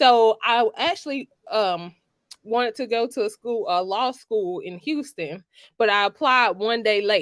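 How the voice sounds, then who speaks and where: Speaking at a fairly slow pace, a woman with a fairly high pitch uses lively intonation in a dry, close sound with no echo. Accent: Georgia. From US South, Georgia. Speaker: lawyer. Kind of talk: podcast interview.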